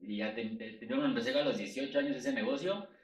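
With a Mexico City accent, a man talks at a fairly quick pace in a space with audible room echo. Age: 30s. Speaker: sales trainer and podcast co-host. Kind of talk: casual chat.

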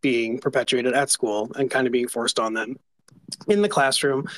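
A man with an American accent, an unremarkable speaking voice at medium pitch, fairly quick pace, dry close sound without echo. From New York. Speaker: advocacy group writer. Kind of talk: online panel discussion.

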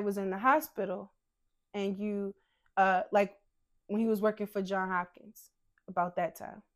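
A woman speaks at a fairly slow pace in a medium pitch with a warm tone. The recording is very clean, with a silent background. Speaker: podcast host. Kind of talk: interview.

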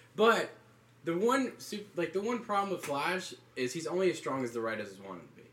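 Quick-paced and high-pitched, a man with a Southern US accent speaks with very wide pitch swings. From US South, North Carolina. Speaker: college student podcaster. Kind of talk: casual chat. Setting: dorm room.

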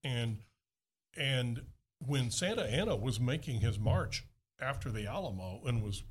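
In a very clean recording with a silent background, a man with a Texas accent sounds somewhat breathy, his pitch varying in an ordinary way. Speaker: TV show host and producer. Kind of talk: casual chat.

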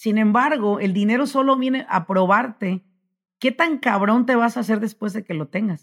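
A woman talks at a fairly slow pace, her somewhat breathy voice carrying lively intonation and an animated tone. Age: 40s. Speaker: business consultant. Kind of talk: motivational interview talk.

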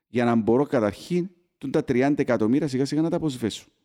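In a Cypriot accent, a man talks at a moderate pace with a dark, mellow tone and ordinary pitch variation, on a very clean recording with a silent background. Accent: Cypriot Greek. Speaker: football podcast host. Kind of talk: casual chat.

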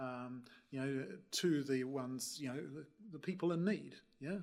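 A man with a New Zealand accent speaks at a fairly high pitch with ordinary pitch variation. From New Zealand, Wellington. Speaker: energy company chief executive. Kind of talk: panel discussion.

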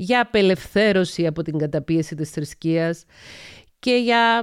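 Recorded very cleanly with a silent background and a dry, close sound with no echo, a woman speaks at a medium pitch. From Cyprus (Paphos). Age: 40s. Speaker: psychologist and podcast host. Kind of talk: solo podcast monologue.

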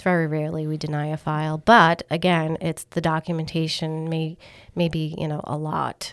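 With a New England accent, a woman speaks at a moderate pace in a very deep, low pitch and a monotone, flat intonation on a very clean recording with a silent background. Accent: Northern (New England). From Massachusetts. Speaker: mortgage underwriting team lead. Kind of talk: casual interview.

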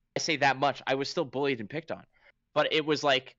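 Using a plain, everyday voice, a man speaks at a fairly quick pace and a fairly high pitch. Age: 30s. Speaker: game commentator and podcast host. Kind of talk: casual chat.

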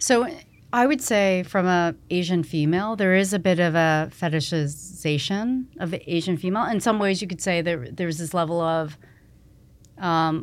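A plain, everyday voice with ordinary pitch variation at a moderate pace, in a very clean recording with a silent background. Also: woman. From Canada (Toronto area). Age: 50s. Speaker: fashion retail executive. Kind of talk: casual interview conversation.

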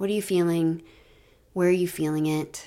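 The intonation is fairly even. The recording is very clean, with a silent background. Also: woman. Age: 40s. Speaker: nurse coach and podcast host. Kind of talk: reflective solo podcast talk. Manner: warm, gentle.

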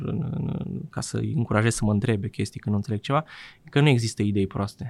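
This man talks at a fairly quick pace with a medium pitch. His voice has vocal fry and ordinary pitch variation. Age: 20s. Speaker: IT freelancer developer. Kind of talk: interview conversation.

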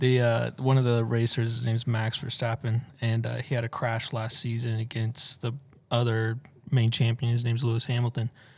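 A man's somewhat breathy, medium-pitched voice in an American accent, with monotone, flat intonation at a moderate pace. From Tennessee.

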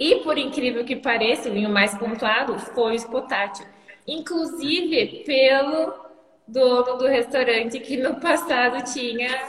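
Over noticeable background noise, a woman with a high pitch and ordinary pitch variation speaks at a fairly slow pace. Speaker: winery manager. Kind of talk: casual chat. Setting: live online stream.

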